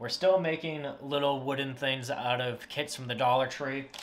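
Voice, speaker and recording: A man talks at a moderate pace with ordinary pitch variation. Light background noise can be heard. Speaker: hobby woodworking channel host. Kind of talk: casual vlog chat. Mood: wry, self-mocking. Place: home room. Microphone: camera far.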